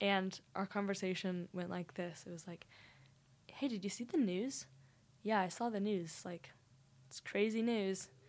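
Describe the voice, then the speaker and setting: A woman with an American accent speaks at a moderate pace in an ordinary speaking voice. Her pitch is medium. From Texas, Dallas. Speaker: university student. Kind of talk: casual interview.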